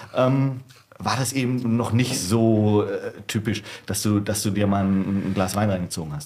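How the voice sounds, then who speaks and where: A man speaks in an unremarkable speaking voice at a fairly low pitch. His pace is fairly slow and his pitch varies in an ordinary way. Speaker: wine bar manager. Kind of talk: casual chat.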